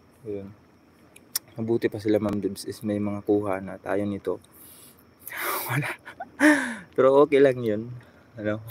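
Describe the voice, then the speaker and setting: With long, frequent pauses and noticeable background noise, a man speaks at a moderate pace in a fairly low pitch and fairly even intonation. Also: big swings in loudness. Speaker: vlogger. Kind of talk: live stream chat.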